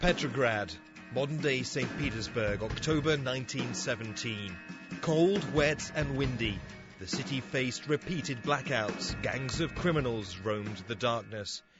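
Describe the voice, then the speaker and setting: Music plays in the background as the speaker talks at a fairly slow pace with lively intonation. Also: man, medium pitch for a man. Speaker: TV news reporter. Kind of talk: TV news report narration.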